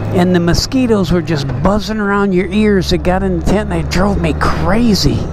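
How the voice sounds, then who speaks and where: The pace is moderate. The sound is dry with no echo, with noticeable background noise. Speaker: motorcycle vlogger. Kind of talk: casual vlog chat. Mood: relaxed, mildly annoyed by mosquitoes. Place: motorbike.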